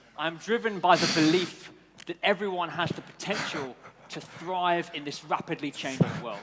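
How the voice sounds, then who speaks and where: With a British accent and a high pitch, a man speaks at a moderate pace with ordinary pitch variation and big swings in loudness over noticeable background noise. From United Kingdom. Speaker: event host. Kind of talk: event hosting speech. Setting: stage with audience.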